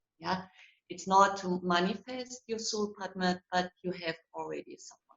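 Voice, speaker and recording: A woman with a German accent at a fairly slow pace, with fairly even intonation and big swings in loudness. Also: medium pitch for a woman. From Germany. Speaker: psychologist and relationship coach. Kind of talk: online interview.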